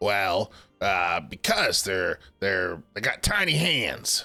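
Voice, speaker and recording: Faint music plays behind a man using a put-on character voice, very deep and low, raspy and rumbling, with a grumpy tone. He speaks at a very slow pace. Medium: actual play. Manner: grumpy, grumbling.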